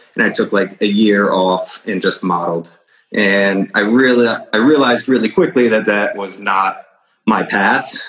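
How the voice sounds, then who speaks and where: In a northeastern US accent, a man with a fairly low pitch speaks at a moderate pace with ordinary pitch variation. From Connecticut, Fairfield County. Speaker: real estate broker. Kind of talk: interview.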